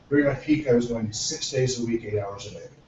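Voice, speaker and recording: With noticeable background noise behind him, a man talks at a fairly quick pace and a medium pitch. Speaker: book club discussion host and role-playing game writer. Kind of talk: casual group discussion.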